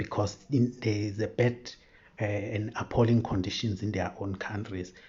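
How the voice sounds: Fairly low-pitched man at a moderate pace, slightly mellow in tone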